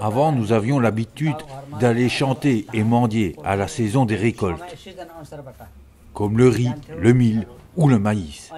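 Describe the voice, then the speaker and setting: Speaking at a very slow pace with long, frequent pauses, a man uses a medium pitch, ordinary pitch variation and a dark, mellow tone. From Nepal. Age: 60s. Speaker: traditional singer. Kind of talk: interview testimony.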